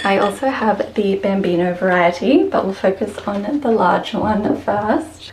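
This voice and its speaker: A woman at medium pitch, in an Australian accent with lively intonation, amid noticeable background noise. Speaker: houseplant content creator. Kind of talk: tutorial.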